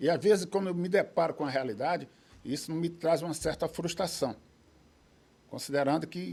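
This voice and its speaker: Vocal fry marks a man's fairly high voice with ordinary pitch variation. He keeps a moderate pace, broken by long, frequent pauses. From Recife, Pernambuco, Brazil. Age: 70s. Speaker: judo master and referee. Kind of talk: interview. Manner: hesitant, repeated fillers.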